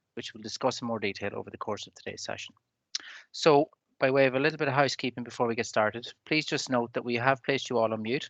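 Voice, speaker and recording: A very fast man with a Donegal accent, medium in pitch with a bright, sharp tone and fairly even intonation, dry and close with no echo over a quiet background. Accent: Donegal Irish. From Ireland, Donegal. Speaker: webinar moderator. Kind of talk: webinar introduction. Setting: video call.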